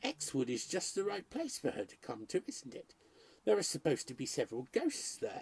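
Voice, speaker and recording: Soft-spoken put-on character voice at a middle pitch and a fairly quick pace. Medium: read story. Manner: mild, placating.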